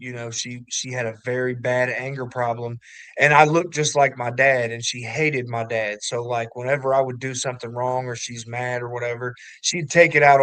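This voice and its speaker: Speaking at a moderate pace with a slight Kentucky accent, a man keeps a medium pitch and a monotone, flat intonation. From southwest Ohio, Kentucky family. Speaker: recovering addict sharing testimony. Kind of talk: testimony.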